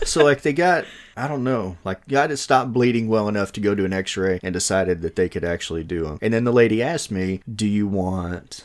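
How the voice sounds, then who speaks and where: A man talks at a fairly quick pace in a plain, everyday voice with fairly low pitch and lively intonation. The recording is very clean, with a silent background. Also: hardly any pauses. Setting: home recording with two mics.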